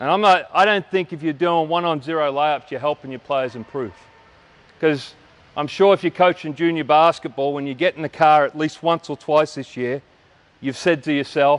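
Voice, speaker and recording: With an Australian accent, a man speaks at a fairly high pitch and a moderate pace with ordinary pitch variation. The sound is dry and close, with no echo. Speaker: basketball coach. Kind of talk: coaching clinic lecture. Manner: loud.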